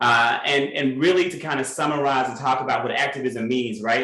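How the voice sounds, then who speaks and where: Here a man speaks with a Southern US accent. Audible room echo and noticeable background noise surround him. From Mississippi. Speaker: educator and activist. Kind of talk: panel discussion.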